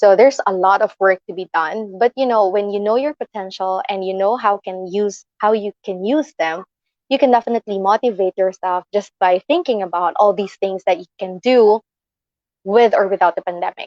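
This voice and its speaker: A woman speaks in a plain, everyday voice at medium pitch. Her pace is moderate and her pitch variation ordinary. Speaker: livestream host giving motivational talk. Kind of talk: motivational livestream talk. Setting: live stream with online audience.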